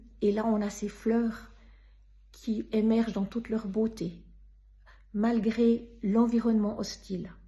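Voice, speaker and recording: In a Swiss accent, a woman with a fairly high pitch and a dark, mellow tone talks very slowly, somewhat breathy. Her intonation is monotone and flat, with long, frequent pauses. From Switzerland. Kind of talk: personal faith testimony.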